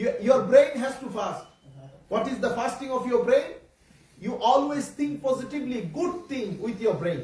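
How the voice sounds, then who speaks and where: A man with a Bengali accent at a moderate pace, extremely high pitch, ordinary pitch variation, and audible room echo. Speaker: Islamic preacher. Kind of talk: religious talk to children. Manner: halting.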